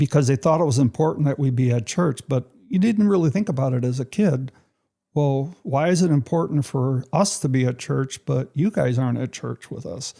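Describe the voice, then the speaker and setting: A man with a Chicago accent and a fairly high, somewhat breathy voice, dark and mellow in tone, at a moderate pace with ordinary pitch variation. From US Midwest, Chicago west side. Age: 70s. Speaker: church member sharing testimony. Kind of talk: testimony. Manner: conversational, with fillers.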